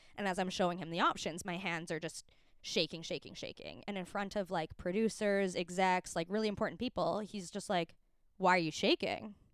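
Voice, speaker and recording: A woman with a Canadian accent talks at a fairly quick pace in a medium pitch. She has a plain, everyday voice, and the recording is very clean with a silent background. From Calgary, Canada. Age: 20s. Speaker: film and TV costumer. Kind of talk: casual chat.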